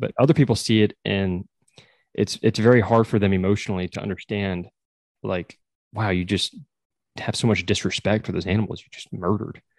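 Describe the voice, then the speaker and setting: With an American accent, a man speaks at a fairly quick pace and a fairly low pitch, leaving long, frequent pauses, in a dry, close sound with no echo and a quiet background. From rural Texas. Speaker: podcast host and wildlife biologist. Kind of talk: casual interview chat. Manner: animated.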